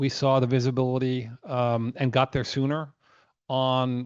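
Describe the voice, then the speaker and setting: A man at medium pitch with an American accent, against a quiet background. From United States. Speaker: company chairman. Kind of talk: earnings call presentation. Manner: halting with many fillers.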